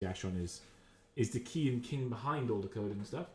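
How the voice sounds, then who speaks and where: A man with a dark, mellow tone talks at a fairly quick pace in a somewhat breathy voice. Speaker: game caster. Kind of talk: live commentary. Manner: soft-spoken. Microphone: microphone too quiet.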